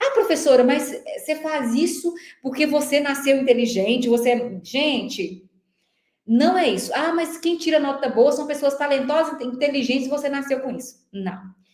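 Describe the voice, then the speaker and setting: With an animated tone, a woman speaks at a high pitch with ordinary pitch variation amid audible room echo. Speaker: teacher coaching for civil service exams. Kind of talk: online lecture. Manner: fast.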